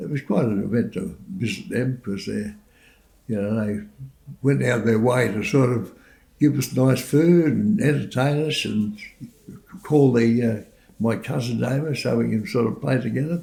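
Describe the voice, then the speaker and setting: A man with an Australian accent, medium pitch, a dark, mellow tone and vocal fry, at a moderate pace with long, frequent pauses. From Sydney, Australia. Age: 80s+. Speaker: war veteran. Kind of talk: testimony. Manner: halting.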